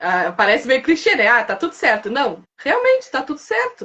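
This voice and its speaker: At a moderate pace, a woman's voice swings very widely in pitch. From Santa Vitória, southern Brazil. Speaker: seamstress and guest. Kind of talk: live podcast conversation. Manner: intense, animated.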